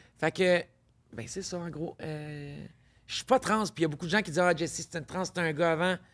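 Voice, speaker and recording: On a very clean recording with a silent background, a woman talks at a fairly quick pace. Her pitch is fairly low and varies in an ordinary way. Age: 40s. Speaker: podcast guest, intersex entrepreneur. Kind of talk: casual interview chat.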